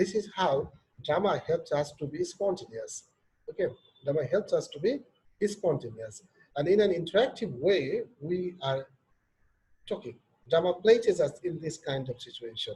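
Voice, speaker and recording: Speaking in a Bangladeshi accent, a man leaves long, frequent pauses. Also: moderate pace. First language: Bengali. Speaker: professor. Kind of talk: lecture.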